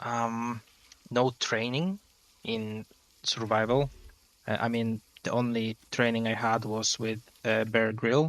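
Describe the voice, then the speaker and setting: A man with a non-native accent speaks very slowly at a medium pitch, his intonation fairly even. Long pauses break up his speech often. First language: not English. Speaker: gaming youtuber. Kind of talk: let's play commentary. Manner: halting, many fillers.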